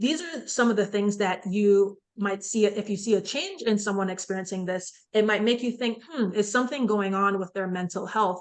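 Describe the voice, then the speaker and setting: A woman with an unremarkable speaking voice talks at a moderate pace and a medium pitch, with ordinary pitch variation and hardly any pauses. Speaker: psychiatrist leading a mental health seminar. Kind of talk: online seminar presentation. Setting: virtual seminar.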